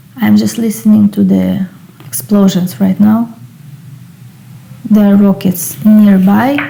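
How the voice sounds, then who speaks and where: A woman's medium-pitched voice with a non-native accent, very slow and broken by long, frequent pauses, lively in intonation, very even in loudness, over noticeable background noise. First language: not English. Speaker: occult and tarot YouTuber. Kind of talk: casual book review. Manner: hesitant, with fillers.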